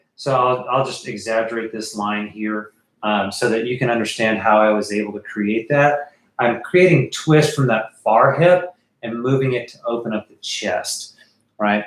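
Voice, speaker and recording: A man's medium-pitched, plain, everyday voice at a moderate pace, with ordinary pitch variation and big swings in loudness. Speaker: art teacher. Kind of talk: livestream drawing tutorial. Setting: live stream. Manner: casual with many fillers.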